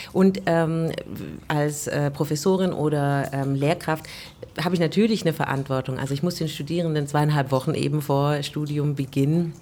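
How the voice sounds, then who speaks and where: A woman speaks with a very deep, low pitch. Her pace is moderate and her intonation fairly even. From Stuttgart, Germany. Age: 40s. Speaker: jazz singer and vocal teacher. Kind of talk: casual interview. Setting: covered terrace outdoors, raining.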